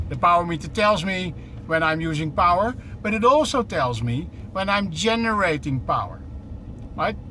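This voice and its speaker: A man's high-pitched, animated delivery at a moderate pace, with lively intonation, noticeable background noise, and audible room echo. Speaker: truck company representative. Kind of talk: live demo while driving. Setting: in a truck cab.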